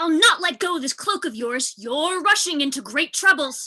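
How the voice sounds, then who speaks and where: The speaker uses a put-on character voice. It is pitched high. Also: moderate pace. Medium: stage play. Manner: firm, level-headed.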